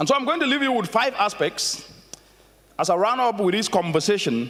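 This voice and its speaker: African accent with very wide pitch swings over noticeable background noise. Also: man. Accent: African accent, proud of it. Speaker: conference keynote speaker. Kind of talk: keynote speech. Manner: animated.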